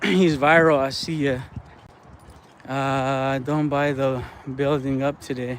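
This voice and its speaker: The speech is very slow, with long, frequent pauses and monotone, flat intonation. Audible room echo surrounds it. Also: man, fairly high pitch for a man. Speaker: fishing streamer. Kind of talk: casual live stream chat. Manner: casual, halting.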